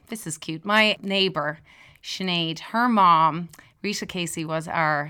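A woman with an Irish accent speaks very slowly in a fairly low pitch with ordinary pitch variation. Her tone is bright and sharp, on a very clean recording with a silent background. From Ireland. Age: 40s. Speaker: music teacher. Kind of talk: casual chat. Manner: animated.

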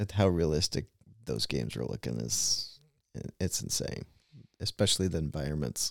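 A man with a very deep, low pitch and vocal fry speaks at a moderate pace with lively intonation. Long, frequent pauses break up the dry, close sound, which has no echo. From US, partly raised in Russia. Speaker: podcast co-host. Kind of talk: casual chat.

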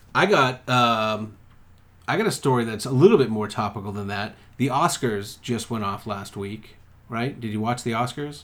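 With an American accent, a man has an unremarkable speaking voice, medium in pitch with ordinary pitch variation. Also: moderate pace. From Massachusetts. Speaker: podcast co-host. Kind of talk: casual chat.

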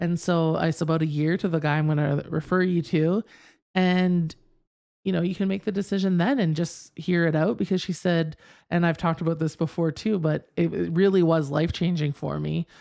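A woman with a fairly low pitch and a normal speaking voice talks at a fairly quick pace, her intonation fairly even and loudness very even. The recording is very clean, with a silent background. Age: 40s. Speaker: podcast co-host. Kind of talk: casual chat.

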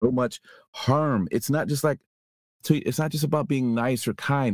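An unremarkable speaking voice with an American accent and ordinary pitch variation. The recording is very clean, with a silent background and a dry, close sound with no echo. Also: man. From US, not the Bay Area. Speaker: podcast host. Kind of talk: casual chat.

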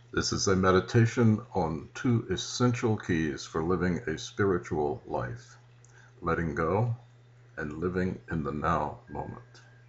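The voice has a soothing tone and vocal fry. It moves at a fairly slow pace with lively intonation. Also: man, very deep, low pitch for a man. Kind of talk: guided meditation, calm spiritual instruction with invitations to breathe and visualize. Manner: slow, deliberate, soothing, with pauses; gentle, reverent, prayer-like.

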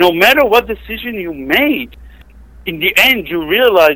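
This man speaks with an Israeli accent. His pace is moderate. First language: Hebrew. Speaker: software tester and gamer. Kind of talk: casual chat.

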